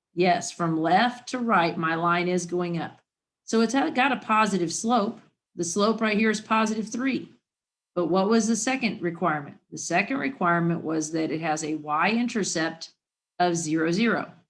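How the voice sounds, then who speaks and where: A woman has a plain, everyday voice at a fairly low pitch, speaking at a moderate pace with lively intonation in a very clean recording with a silent background. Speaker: math teacher. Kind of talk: lesson.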